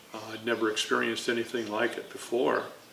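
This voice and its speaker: A man with an American accent speaks over noticeable background noise, with audible room echo around him. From Chicago area, Illinois. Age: 80s+. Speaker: navy veteran and artist. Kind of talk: oral history interview. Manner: halting, many fillers.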